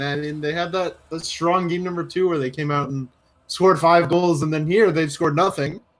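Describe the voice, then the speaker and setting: A man's high-pitched voice at a moderate pace, with music in the background. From Canada. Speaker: esports commentator. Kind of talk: live commentary.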